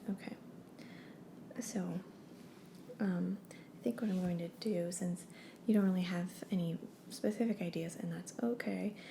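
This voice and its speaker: A soft-spoken woman with an American accent talks at a fairly slow pace with long, frequent pauses. Her medium-pitched voice has a dark, mellow tone, vocal fry and ordinary pitch variation. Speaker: name consultant character. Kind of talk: ASMR roleplay.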